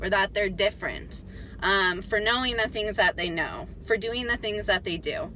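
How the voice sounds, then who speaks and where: With light background noise and a dry sound with no echo, a woman talks at a moderate pace with ordinary pitch variation. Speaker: vlogger. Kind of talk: casual vlog chat. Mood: animated ranting, some laughs. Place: car.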